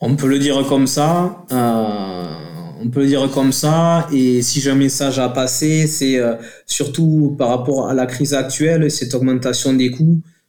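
A man with a southern French accent talks at a fairly slow pace in a fairly high, dark, mellow voice with fairly even intonation. His loudness stays very even, and audible room echo surrounds him. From southern France, Toulouse area. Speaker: company director. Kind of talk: radio interview. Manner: halting.

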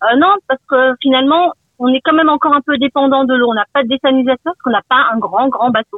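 The speech comes at a very fast pace with ordinary pitch variation. Loudness stays very even. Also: woman, high pitch for a woman. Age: 50s. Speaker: radio caller. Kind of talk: phone-in testimony.

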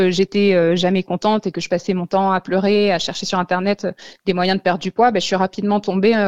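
A woman talks at a medium pitch. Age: 30s. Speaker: author recovered from eating disorders. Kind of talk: radio interview, personal testimony.

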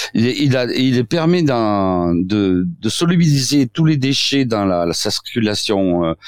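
With a slight southwestern French accent, a man speaks in very wide pitch swings, captured with a dry, close sound and no echo. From southwestern France. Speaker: doctor, osteopath. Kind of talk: radio interview. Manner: halting, many repetitions and fillers.

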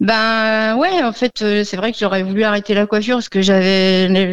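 A woman's voice at medium pitch. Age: 50s. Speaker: hairdresser, radio caller. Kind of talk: call-in consultation. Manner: hesitant.

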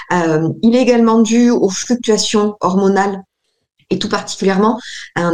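Moderate pace, ordinary pitch variation and an unremarkable speaking voice from a woman. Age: 30s. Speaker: naturopath. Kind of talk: radio interview. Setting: remote call with camera. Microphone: poor remote audio.

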